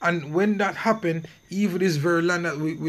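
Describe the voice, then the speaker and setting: Here a man with a high pitch talks at a fairly quick pace, using ordinary pitch variation. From Jamaica. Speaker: religious online teacher. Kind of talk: religious lesson video.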